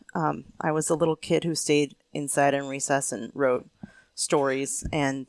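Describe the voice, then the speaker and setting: The accent is American. The speaker is a woman. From Pennsylvania. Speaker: homesteader, author and falconer. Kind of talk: casual interview. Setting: seated on her farm.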